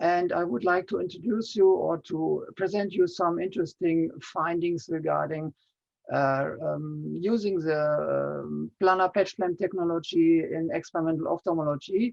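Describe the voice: A man talks at a moderate pace with a fairly high pitch and fairly even intonation. His tone is slightly mellow, with vocal fry.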